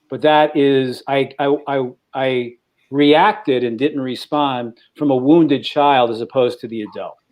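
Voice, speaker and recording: An ordinary speaking voice from a man with an American accent, fairly high pitch, ordinary pitch variation, and a fairly slow pace. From New York. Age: 60s. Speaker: podcast co-host. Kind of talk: personal testimony in panel discussion.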